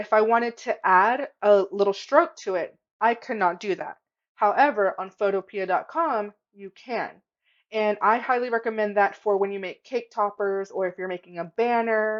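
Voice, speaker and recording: Against a quiet background, a woman speaks at a moderate pace with a fairly high pitch. Her pitch variation is ordinary, but her loudness swings a lot. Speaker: craft tutorial youtuber. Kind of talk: tutorial. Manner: casual, animated. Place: home room. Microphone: webcam.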